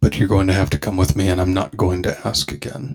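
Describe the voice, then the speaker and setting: Very fast and very deep, a man performs a put-on character voice. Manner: cold, menacing.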